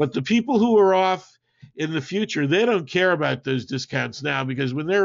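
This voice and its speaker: A man is speaking. His intonation is lively. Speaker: marketing webinar presenter. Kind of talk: webinar presentation with Q&A. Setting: online webinar. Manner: casual, halting with many fillers.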